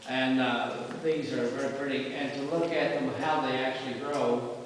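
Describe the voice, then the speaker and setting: A man's voice with strong room echo and noticeable background noise. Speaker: cave tour guide. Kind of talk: guided tour explanation. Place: tunnel cave. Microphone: camera far.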